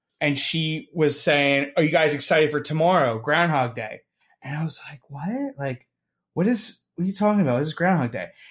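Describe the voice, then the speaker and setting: Loudness rises and falls by a lot here. An unremarkable speaking voice keeps a moderate pace, its pitch varying in an ordinary way. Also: man, fairly high pitch for a man. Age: 20s. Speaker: podcast co-host. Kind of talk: casual chat.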